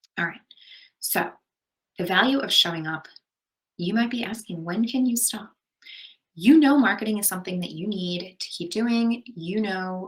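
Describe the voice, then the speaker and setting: A somewhat breathy woman with an American accent, ordinary pitch variation, a moderate pace and long, frequent pauses. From Long Island, New York. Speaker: marketing conference presenter. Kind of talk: recorded conference presentation. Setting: pre-recorded remote presentation. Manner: casual, conversational with frequent fillers.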